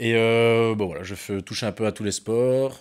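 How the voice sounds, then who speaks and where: Here a man talks at a medium pitch. His intonation stays fairly even. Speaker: physical education teacher. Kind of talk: casual chat.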